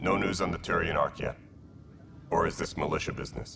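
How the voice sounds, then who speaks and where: A man speaks in a put-on character voice at a fairly quick pace. Background noise is clearly heard. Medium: video game.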